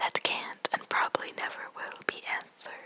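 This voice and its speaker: A whisper over noticeable background noise. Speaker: ASMR creator. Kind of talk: poetry reading. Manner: whispered, soft, slow.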